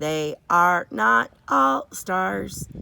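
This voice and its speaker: A woman doing a put-on character voice, very deep and low in pitch. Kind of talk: bedtime story. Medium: read story. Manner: precise, even, factual.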